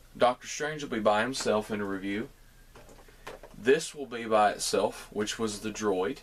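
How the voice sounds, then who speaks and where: Noticeable background noise runs under this recording. A man with a Southern US accent speaks at a moderate pace. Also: medium pitch for a man, ordinary pitch variation. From US South. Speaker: toy reviewer YouTuber. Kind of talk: product review. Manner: casual.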